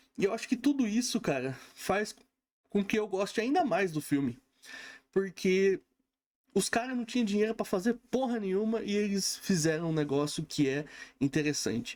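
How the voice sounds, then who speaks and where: The pitch swings very widely at a moderate pace, broken by long, frequent pauses. The recording is very clean, with a silent background. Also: man, high pitch for a man. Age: 30s. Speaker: film reviewer. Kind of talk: casual film review monologue. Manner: casual, conversational with frequent fillers.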